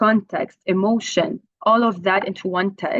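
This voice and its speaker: A woman's medium-pitched voice with an Arabic accent, ordinary pitch variation and a fairly slow pace. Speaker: translation professor. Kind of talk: conference talk. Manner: hesitant, many fillers.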